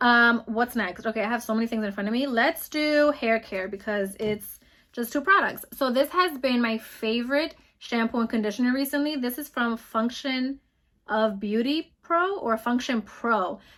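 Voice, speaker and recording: Speaking with an American accent, the woman has a high pitch. Her pitch varies in an ordinary way. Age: 20s. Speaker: beauty vlogger. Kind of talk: casual product review. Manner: fast.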